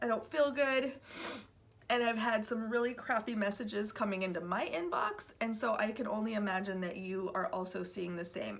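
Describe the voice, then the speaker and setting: Over noticeable background noise, a woman speaks in a fairly high voice. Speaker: recruiter and video host. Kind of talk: casual vlog talk. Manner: animated, conversational.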